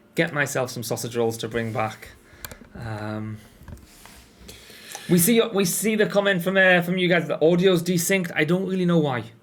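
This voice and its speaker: A man with a British accent talks at a moderate pace in a high voice with very wide pitch swings. He leaves long, frequent pauses, and noticeable background noise is present. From northeast England, Sunderland. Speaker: game studio community host. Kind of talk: casual livestream chat.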